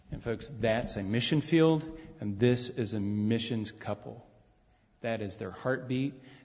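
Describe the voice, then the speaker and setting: Somewhat breathy and at a medium pitch, a man talks at a fairly slow pace. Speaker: pastor. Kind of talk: church announcements and prayer. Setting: church service.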